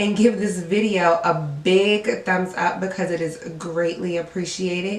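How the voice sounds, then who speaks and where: A woman at a fairly slow pace, with fairly even intonation, noticeable background noise and audible room echo. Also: medium pitch for a woman. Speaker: beauty vlogger. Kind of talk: makeup tutorial intro. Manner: voice cracking.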